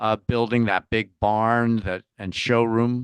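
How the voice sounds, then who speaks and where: A man talks at a fairly slow pace. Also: dry, close sound with no echo, quiet background. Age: 60s. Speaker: interview guest, founder. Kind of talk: casual chat.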